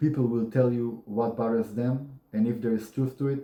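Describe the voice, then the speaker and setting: A man speaks in a dark, mellow tone. His pace is moderate and his intonation fairly even. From Israel. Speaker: YouTuber. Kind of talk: casual monologue. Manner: monotone.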